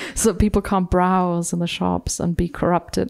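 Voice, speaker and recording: Someone speaks at a fairly slow pace with a German accent. The recording is very clean, with a silent background. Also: woman. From Germany. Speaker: novelist. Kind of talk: literary event conversation.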